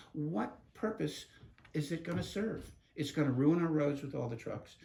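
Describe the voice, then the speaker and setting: A man talks at medium pitch and a moderate pace. His voice is somewhat breathy. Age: 70s. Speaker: community advocate. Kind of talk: interview.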